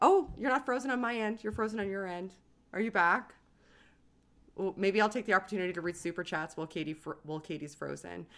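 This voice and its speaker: Animated in tone, a woman with a Canadian accent and medium pitch speaks at a very fast pace. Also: ordinary pitch variation. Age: 30s. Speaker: YouTube host. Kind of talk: casual chat. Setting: livestream video call.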